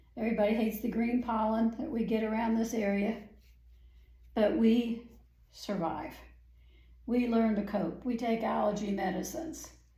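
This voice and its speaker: A somewhat breathy woman's voice, fairly high in pitch and dark and mellow in tone, at a moderate pace with fairly even intonation and audible room echo. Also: long, frequent pauses. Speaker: painting instructor. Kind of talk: tutorial.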